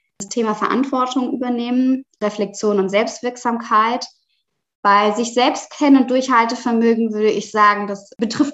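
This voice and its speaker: A woman talks in a normal speaking voice at a moderate pace. Her fairly high pitch shows ordinary variation. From Germany, Palatinate. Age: 30s. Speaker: author and sustainable fashion professional. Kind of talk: podcast interview.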